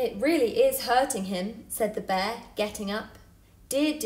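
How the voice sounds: The intonation here is lively. It is a natural reading voice.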